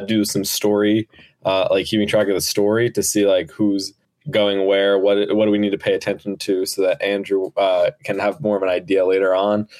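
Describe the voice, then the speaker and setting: With an American accent, a man speaks at a fairly quick pace in a fairly low pitch, an ordinary speaking voice. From New Jersey. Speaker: podcast co-host and production crew, lifeguard. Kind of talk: casual podcast chat.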